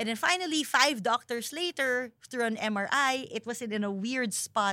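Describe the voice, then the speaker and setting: A woman's bright, sharp voice with lively intonation at a moderate pace. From Philippines. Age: 40s. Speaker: professional wrestler. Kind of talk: casual interview chat. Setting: studio.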